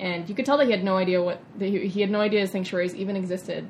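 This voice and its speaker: A woman speaks at a very fast pace in a somewhat breathy voice of medium pitch. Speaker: vegan chef and nutrition coach. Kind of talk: interview. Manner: animated.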